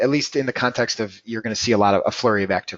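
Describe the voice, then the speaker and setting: The man's voice sits at a medium pitch and holds a fairly even intonation. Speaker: trading educator at a futures brokerage. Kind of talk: live webinar tutorial. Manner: fast.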